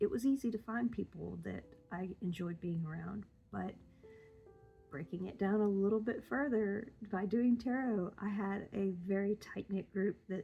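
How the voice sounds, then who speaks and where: A woman speaks at medium pitch and a moderate pace with ordinary pitch variation. Her voice is somewhat breathy, with a dark, mellow tone. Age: 50s. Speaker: tarot vlogger. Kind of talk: casual vlog talk. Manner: rambling, hesitant with many ums.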